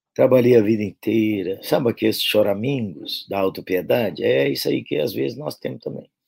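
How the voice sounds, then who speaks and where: This man talks at a moderate pace with hardly any pauses. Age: 60s. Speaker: pastor. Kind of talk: sermon-style talk to pastors. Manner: animated, folksy.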